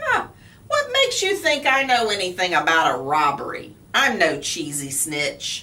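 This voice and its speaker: A woman's put-on character voice, medium in pitch, at a moderate pace. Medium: read story. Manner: tough-guy gangster talk.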